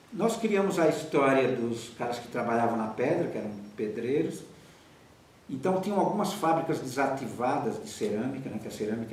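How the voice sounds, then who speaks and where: Amid noticeable background noise and audible room echo, a man with medium pitch speaks at a moderate pace with very wide pitch swings. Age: 70s. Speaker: theatre director. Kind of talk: interview.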